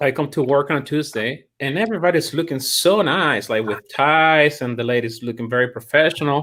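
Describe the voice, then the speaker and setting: With a Chilean accent and hardly any pauses, a man speaks in a bright, sharp tone with ordinary pitch variation on a very clean recording with a silent background. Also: fairly high pitch for a man, fairly quick pace. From Chile, Santiago. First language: Spanish. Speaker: chiropractor and college admissions staff. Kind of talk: interview. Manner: halting, with many repetitions.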